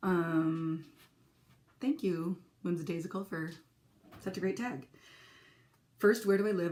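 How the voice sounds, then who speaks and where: A woman with a Minnesotan accent and a fairly low pitch, at a moderate pace with long, frequent pauses. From California, San Francisco area. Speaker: crafting vlogger and teacher. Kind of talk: casual vlog. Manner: chatty, with hesitations.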